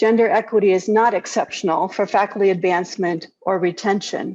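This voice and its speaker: A woman talks in an ordinary speaking voice at a medium pitch, with ordinary pitch variation and a moderate pace. The background is quiet. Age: 60s. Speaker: keynote speaker, physician. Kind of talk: keynote speech. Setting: video call.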